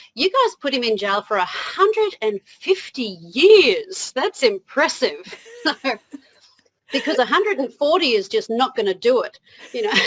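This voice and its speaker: In a dry, close recording with no echo, a woman with an Australian accent speaks in a high voice with very wide pitch swings. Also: moderate pace. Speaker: motivational speaker. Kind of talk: interview.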